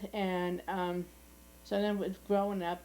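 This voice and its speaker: A woman speaks in a Boston accent with a fairly low pitch. Her dark, mellow tone moves at a fairly slow pace. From US Northeast, South Boston, Massachusetts. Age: 80s+. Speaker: family elder interviewee. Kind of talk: oral history interview. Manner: halting.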